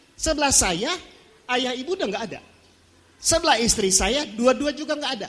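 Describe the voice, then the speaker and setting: An extremely high-pitched man speaks at a fairly quick pace with lively intonation over noticeable background noise. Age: 60s. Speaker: pastor. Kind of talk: sermon. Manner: animated.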